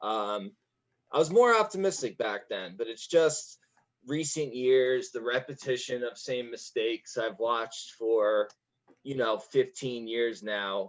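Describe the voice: A man at a slow pace, with ordinary pitch variation. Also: medium pitch for a man.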